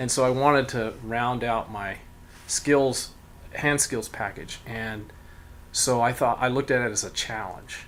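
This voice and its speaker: In a normal speaking voice, a man talks fairly slowly at a medium pitch with fairly even intonation. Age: 60s. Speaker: cabinet maker and furniture designer. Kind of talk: interview. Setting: in his workshop. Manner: terse, short answers.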